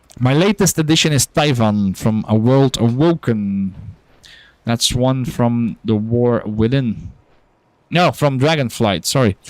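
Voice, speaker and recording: Recorded with a dry, close sound with no echo, a man with a non-native accent and a medium pitch speaks at a fairly slow pace with very even loudness. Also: lively intonation. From Belgium. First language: not English. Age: adult, working. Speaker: gaming streamer. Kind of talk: casual game-stream chat.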